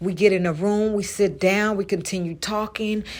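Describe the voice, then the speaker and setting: On a very clean recording with a silent background, a woman speaks quietly at a fairly slow pace with fairly even intonation. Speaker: mother sharing personal story. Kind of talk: voice message testimony. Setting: recorded voice message in garage. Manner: quiet, hushed.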